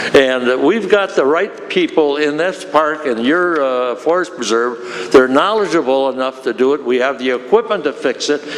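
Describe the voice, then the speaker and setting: Speaking at a moderate pace with hardly any pauses, a man with a fairly high voice uses lively intonation over noticeable background noise. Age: 80s+. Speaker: retired railroad worker, public commenter. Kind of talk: public comment at meeting. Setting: county board meeting. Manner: animated.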